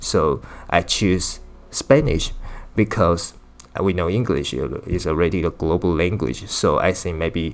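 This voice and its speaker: A fairly slow pace in a Chinese accent, with ordinary pitch variation. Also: man, very deep, low pitch for a man. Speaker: language teacher. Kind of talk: video lesson. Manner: halting, with many fillers.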